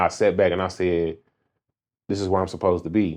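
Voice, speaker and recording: A man speaks at a fairly quick pace. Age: 30s. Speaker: barber. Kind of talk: casual chat.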